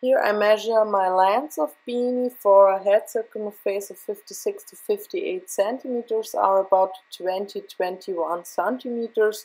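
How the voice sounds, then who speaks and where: A woman speaks with a German accent at a moderate pace, her pitch fairly high and her pitch variation ordinary. She barely pauses, and her loudness swings widely. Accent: German accent, non-native English. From Germany. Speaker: crochet tutorial maker. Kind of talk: tutorial. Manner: halting, with fillers.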